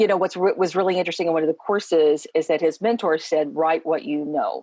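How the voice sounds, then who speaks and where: In an Appalachian accent, a woman speaks very fast with a dark, mellow tone and very even loudness. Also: fairly low pitch for a woman, ordinary pitch variation. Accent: Appalachian Kentucky. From Eastern Kentucky. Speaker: educator. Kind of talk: casual chat.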